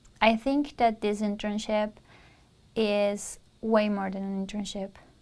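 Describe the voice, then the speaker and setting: Speaking with a Spanish accent, a woman keeps a moderate pace. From Peru. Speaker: university student. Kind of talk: interview testimonial.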